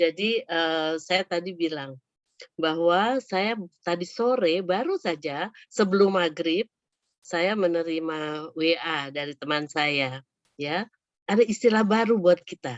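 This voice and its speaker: A woman speaks very slowly at a fairly low pitch, with ordinary pitch variation. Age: 60s. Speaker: psychologist and coach. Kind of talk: webinar talk.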